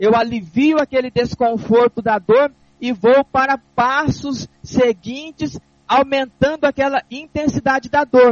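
Fairly slow and extremely high in pitch, a man's voice shows ordinary pitch variation. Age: 40s. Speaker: deacon and radio preacher. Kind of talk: sermon. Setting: studio.

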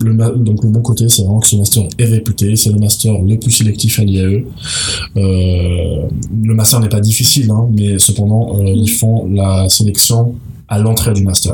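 Over noticeable background noise, a man speaks slowly-ish in a fairly low, monotone voice, his loudness very even throughout. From mixed: Tunisia, Malta, United States. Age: 20s. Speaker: master's student. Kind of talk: interview. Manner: halting, many fillers.

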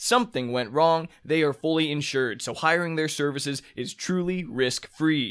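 Words come at a moderate pace in an American accent. There's no background sound at all, and the recording is very clean. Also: man. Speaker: podcast host. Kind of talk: interview.

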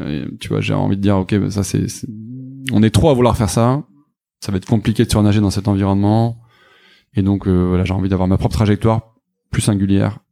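Over music in the background, a man with a fairly low voice talks at a fairly quick pace broken by long, frequent pauses. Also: fairly even intonation. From southwestern France. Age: 30s. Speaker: startup founder and CEO. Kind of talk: interview.

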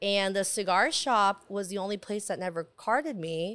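An unremarkable speaking voice, a woman with an American accent talks at a medium pitch and moderate pace in a very clean recording with a silent background. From San Diego, California. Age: 30s. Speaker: cigar lounge owner. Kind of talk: casual chat. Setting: in a cigar lounge.

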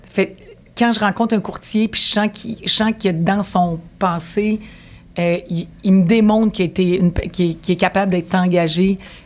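A woman's somewhat breathy, medium-pitched voice at a fairly slow pace. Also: fairly even intonation. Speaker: mortgage broker. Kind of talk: interview.

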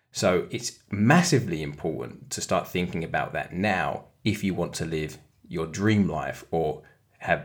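In a British accent, a man talks with ordinary pitch variation on a very clean recording with a silent background. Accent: British, noticeable. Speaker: co-host, trader and ex-footballer. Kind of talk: casual podcast chat about investing. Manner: animated, enthusiastic.

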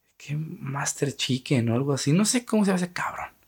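With a Mexican accent, a man speaks in an animated tone at a fairly slow pace. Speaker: podcast host. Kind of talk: casual monologue.

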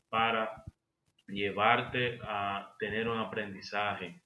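The voice has a bright, sharp tone and monotone, flat intonation. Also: man. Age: 30s. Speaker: entrepreneur. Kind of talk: interview. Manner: hesitant, many fillers.

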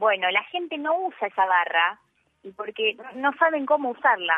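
Her pitch fairly high and swinging very widely, a woman speaks at a fairly slow pace with long, frequent pauses and big swings in loudness. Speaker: radio columnist. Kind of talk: radio talk segment.

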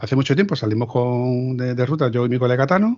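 Words come out at a very fast pace. The voice is a man's. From Andalusia, Seville province. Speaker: motorcycle podcast host. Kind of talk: casual chat. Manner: halting.

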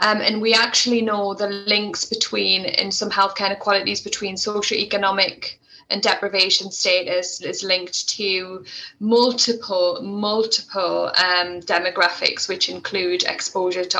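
In a Geordie accent, a woman speaks at a moderate pace with medium pitch and fairly even intonation. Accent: Geordie (Tyneside English). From northern England, Tyneside (Wallsend). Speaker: respiratory physiotherapist and healthcare leader. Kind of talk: interview.

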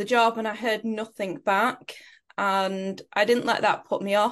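In a Lancashire accent, the speaker keeps a fairly even intonation. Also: woman, quiet background. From northern England (Preston, Lancashire). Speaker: performance mindset coach. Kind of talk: interview.

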